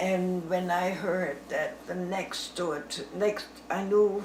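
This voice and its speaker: Medium pitch from a woman at a very slow pace, with noticeable background noise. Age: 80s+. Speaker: grandmother telling war memories. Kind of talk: casual storytelling to family, interview answer. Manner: conversational, rambling, halting, with fillers.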